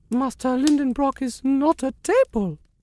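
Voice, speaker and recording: A high pitch shapes this put-on character voice. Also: moderate pace. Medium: read story. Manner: wary.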